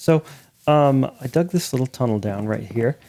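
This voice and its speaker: A man mumbles at a moderate pace and medium pitch, with ordinary pitch variation. His tone is dark and mellow, and the sound is dry and close with no echo. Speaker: gaming video creator. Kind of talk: gameplay commentary. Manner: casual, halting with self-corrections; mumbling to himself.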